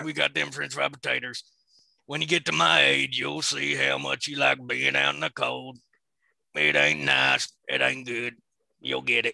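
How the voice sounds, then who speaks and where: A man puts on a character voice in a Southern US accent, raspy and very deep, at a moderate pace. The sound is dry and close with no echo. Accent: Southern drawl, imitating a film character. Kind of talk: comic dramatic reading. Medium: read story. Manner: drawling, folksy, gruff.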